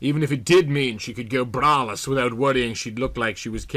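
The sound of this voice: This is an unforced reading voice. It reads the text as written.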